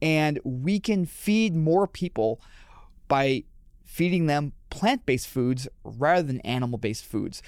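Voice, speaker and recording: With a Midwestern American accent, a man's pitch swings very widely in a very clean recording with a silent background. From Michigan, Detroit area. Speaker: animal rights advocate. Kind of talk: casual interview. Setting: studio.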